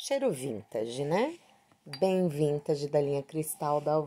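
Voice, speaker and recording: The voice has a dark, mellow tone and lively intonation. It moves at a fairly slow pace against a quiet background. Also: woman. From Brazil, São Paulo ABC region; São Paulo, Brazil. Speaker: beauty vlogger. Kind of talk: casual product review vlog. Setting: at home. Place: home room. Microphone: phone near.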